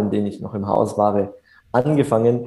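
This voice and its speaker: His voice has a dark, mellow tone. The man moves at a moderate pace, his intonation lively. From Germany, Upper Franconia (near Bamberg). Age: 20s. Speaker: entrepreneur. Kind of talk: interview. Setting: video call. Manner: hesitant, many filler sounds. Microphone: reduced audio quality over video call.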